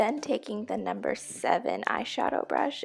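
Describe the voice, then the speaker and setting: Music sounds in the background while a woman is talking. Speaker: beauty YouTuber. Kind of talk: makeup tutorial voiceover.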